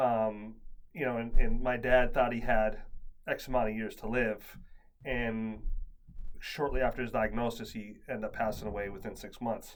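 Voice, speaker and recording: Speaking at medium pitch and a moderate pace, a man keeps a monotone, flat intonation while his loudness swings widely, with audible room echo around him. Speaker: podcast host. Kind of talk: casual chat. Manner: halting.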